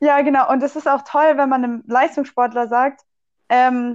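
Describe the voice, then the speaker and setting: Fairly even intonation comes through over a quiet background. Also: woman. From Swabia, southwestern Germany. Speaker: physiotherapist and student athlete. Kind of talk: casual chat.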